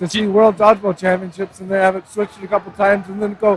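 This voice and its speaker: Amid noticeable background noise, a man with a high pitch talks at a very fast pace. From Canada. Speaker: sports commentator. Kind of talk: live commentary.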